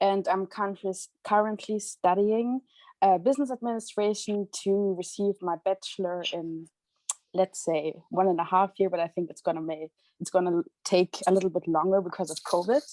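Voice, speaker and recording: A woman's dark, mellow tone in a German accent, with a dry, close sound and no echo. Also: medium pitch for a woman, ordinary pitch variation, moderate pace. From Germany. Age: 20s. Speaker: student and youth association leader. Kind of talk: personal testimony.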